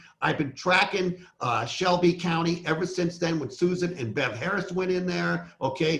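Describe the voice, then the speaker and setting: The speech moves at a moderate pace with ordinary variation in pitch, noticeable noise audible behind it. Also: man. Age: 60s. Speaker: election integrity activist. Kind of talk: casual interview conversation.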